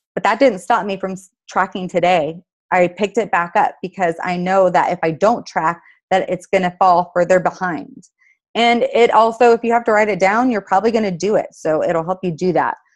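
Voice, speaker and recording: A woman at a medium pitch and moderate pace, with ordinary pitch variation and a quiet background. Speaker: team call leader, fitness coach. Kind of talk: group conference call training. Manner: animated.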